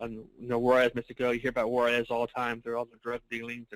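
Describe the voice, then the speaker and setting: In a Texan accent, a man at medium pitch speaks very fast with monotone, flat intonation, the sound dry and close with no echo. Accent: Texan American English. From Texas, El Paso. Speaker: financial services marketer. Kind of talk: motivational testimony.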